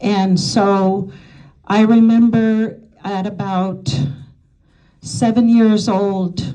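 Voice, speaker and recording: With audible room echo, a woman of medium pitch speaks very slowly in a dark, mellow tone with fairly even intonation and long, frequent pauses. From Alaska, small Yupik Eskimo village. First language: Yupik. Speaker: speaker sharing testimony. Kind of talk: testimony. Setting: women's day luncheon.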